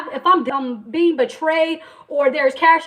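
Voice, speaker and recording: A woman with an American accent speaks loudly and passionately in an extremely high pitch, her intonation lively over noticeable background noise. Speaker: entrepreneur livestreamer. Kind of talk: motivational faith talk on livestream. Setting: livestream. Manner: loud, passionate.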